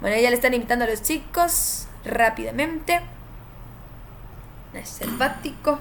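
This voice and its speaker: A woman's high-pitched, animated voice with ordinary pitch variation, a fairly slow pace, long and frequent pauses, and noticeable background noise. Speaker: game streamer and tournament caster. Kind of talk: live stream commentary.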